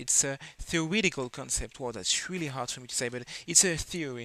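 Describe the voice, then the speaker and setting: A man with a non-native accent talks at a moderate pace. His voice is fairly high, with ordinary pitch variation. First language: not English. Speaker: philosophy video creator. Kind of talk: educational lecture. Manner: halting, many fillers.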